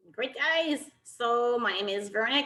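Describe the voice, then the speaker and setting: With a slight French Canadian accent, a woman talks in a bright, sharp tone with ordinary pitch variation. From Quebec, Canada. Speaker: technical officials committee chair. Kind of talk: virtual briefing.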